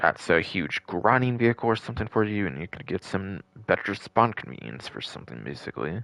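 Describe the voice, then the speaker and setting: A man with a fairly low voice talks at a fairly quick clip, his pitch swinging very widely and his loudness rising and falling sharply, in a dry, close recording with no echo. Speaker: gaming livestreamer. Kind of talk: live gameplay commentary. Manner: casual, filler-heavy.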